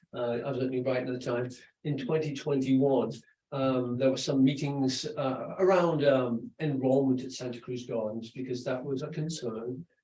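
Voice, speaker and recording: The speech comes at a moderate pace with ordinary pitch variation, and audible room echo surrounds it. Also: man. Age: 60s. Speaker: school principal. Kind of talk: presentation at a school board meeting.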